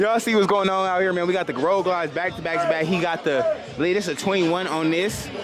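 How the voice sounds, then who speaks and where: Full of animated tone, a man speaks at a very fast pace with a high pitch and ordinary pitch variation, surrounded by audible room echo and noticeable background noise. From not from Houston. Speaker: motorcycle vlogger. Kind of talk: casual vlog walkaround.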